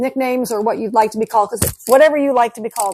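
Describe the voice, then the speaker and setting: In a normal speaking voice, a woman talks at a fairly high pitch with ordinary pitch variation, the sound dry and close with no echo and the recording very clean over a silent background. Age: 60s. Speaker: pickleball podcast co-host, retired police officer. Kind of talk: casual chat.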